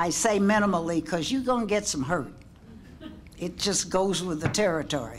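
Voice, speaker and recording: Noticeable background noise sits behind a woman speaking with lively intonation. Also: fairly low pitch for a woman, moderate pace. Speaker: panelist. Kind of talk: panel discussion.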